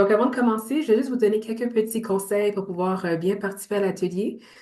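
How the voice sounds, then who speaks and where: A woman with a Montreal accent, fairly quick in pace, with fairly even intonation. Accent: Montreal Quebec French. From Montreal, Quebec. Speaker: entrepreneur and business coach. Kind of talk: online workshop presentation.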